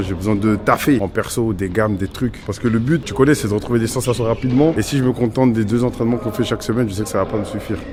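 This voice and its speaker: A man at a very fast pace with a fairly low pitch and fairly even intonation over noticeable background noise. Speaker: YouTuber, amateur futsal player. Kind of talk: casual vlog. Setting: gym.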